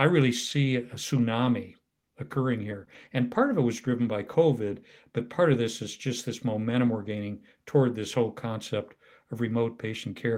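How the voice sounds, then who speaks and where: In a very clean recording with a silent background, a man with an American accent speaks at a medium pitch. He has a normal speaking voice, fairly even intonation and a fairly quick pace. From US Midwest, Iowa. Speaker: retired health system CEO and advisor. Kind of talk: interview conversation.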